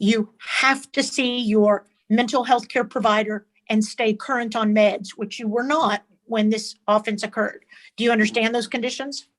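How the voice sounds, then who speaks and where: A woman with an unremarkable speaking voice talks at a moderate pace with a fairly high pitch and fairly even intonation. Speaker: defense lawyer. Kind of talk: court examination.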